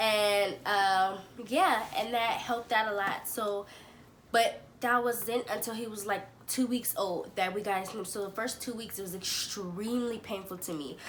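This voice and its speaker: A woman with a fairly high pitch and fairly even intonation speaks at a fairly slow pace, with audible room echo and noticeable background noise. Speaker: parenting vlogger. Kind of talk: casual vlog talk. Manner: casual, chatty.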